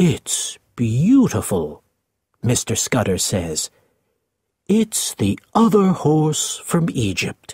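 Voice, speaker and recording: A man does a put-on character voice at a fairly high pitch. He talks very slowly, with very wide pitch swings. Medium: read story.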